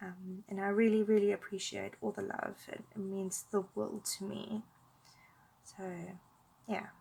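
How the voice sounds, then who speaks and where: Speaking at a fairly slow pace with long, frequent pauses, a woman has a medium-pitched, somewhat breathy voice of dark, mellow tone and monotone, flat intonation. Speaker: art tutorial youtuber. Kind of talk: casual chat during colouring tutorial.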